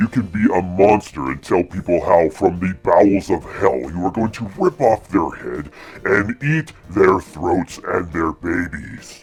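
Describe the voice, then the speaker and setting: In a menacing put-on character voice, a man speaks fairly slowly with a very deep, low pitch. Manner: menacing, scary.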